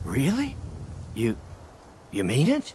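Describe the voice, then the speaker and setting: A man's put-on character voice at medium pitch, with clear background noise. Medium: video game. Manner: hesitant, stammering.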